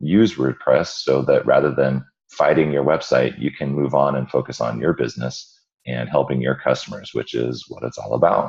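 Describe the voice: A man puts on a hoarse character voice with a very deep, low pitch. His pace is moderate and his pitch variation ordinary.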